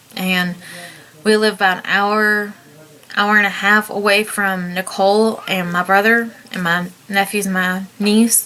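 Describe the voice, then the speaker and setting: A woman's medium-pitched, monotone, flat delivery with a Southern US accent, over noticeable background noise. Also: fairly slow pace. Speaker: vlogger. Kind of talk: personal testimony. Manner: halting.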